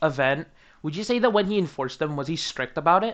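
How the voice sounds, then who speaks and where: An American accent against a quiet background. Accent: sounds American. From Australia. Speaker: YouTuber interviewing about community drama. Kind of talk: casual interview.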